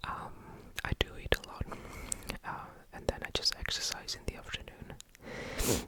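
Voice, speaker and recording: A man whispering at a moderate pace over noticeable background noise. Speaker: ASMR creator. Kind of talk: ASMR ramble. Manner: whispered, soft-spoken.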